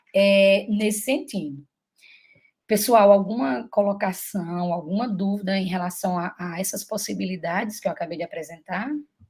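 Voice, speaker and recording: The voice is somewhat breathy, with a northeastern Brazilian accent. It moves at a moderate pace with big swings in loudness. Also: woman. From Brazil, Paraíba (Campina Grande). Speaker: teacher and mentor. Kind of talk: online mentoring session.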